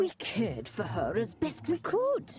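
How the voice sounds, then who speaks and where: This is a put-on character voice. It moves along at a moderate pace. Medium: video game. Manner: measured, commanding.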